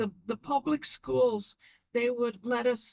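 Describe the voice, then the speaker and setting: A woman at a very slow pace, the sound dry and close with no echo. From Chicago. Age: 80s+. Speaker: longtime Chicago resident. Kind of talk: interview answer. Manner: casual, reminiscing.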